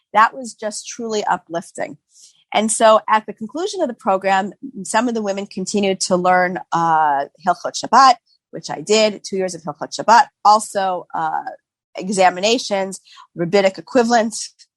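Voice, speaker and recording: In a Boston accent, a woman speaks at medium pitch and a moderate pace with ordinary pitch variation. The sound is dry and close with no echo. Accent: American, Boston area. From US Northeast, Boston. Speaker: physician and halakha scholar. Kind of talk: interview conversation. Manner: hesitant, many fillers.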